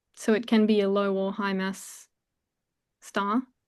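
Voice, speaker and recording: A woman with an Australian accent at a very slow pace, against a quiet background. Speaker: astrophysics PhD student. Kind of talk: Q&A answer after lecture.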